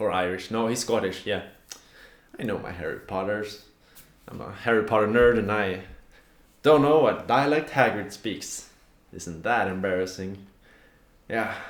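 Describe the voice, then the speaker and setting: With a Swedish accent, a man speaks at a moderate pace in a fairly low pitch with ordinary pitch variation, big swings in loudness, long, frequent pauses and audible room echo. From Sweden. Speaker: aspiring fantasy author and video blogger. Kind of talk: casual tutorial vlog. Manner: awkward laughs.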